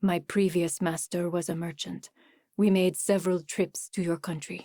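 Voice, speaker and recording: A female-sounding, put-on character voice sits at a middle pitch on a very clean recording with a silent background. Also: moderate pace. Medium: read story. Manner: formal, measured speech without contractions.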